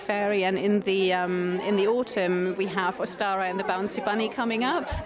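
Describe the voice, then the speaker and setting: A woman's medium-pitched voice with fairly even intonation, audible room echo and crowd noise in the background. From Italy. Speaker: children's author. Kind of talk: radio interview.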